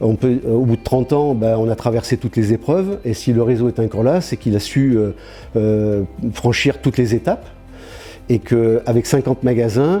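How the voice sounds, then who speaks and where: Music sits in the background under speech with ordinary pitch variation and very even loudness. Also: man, medium pitch for a man, moderate pace. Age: 60s. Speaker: franchise store owner. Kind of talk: interview testimony. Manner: hesitant, many fillers.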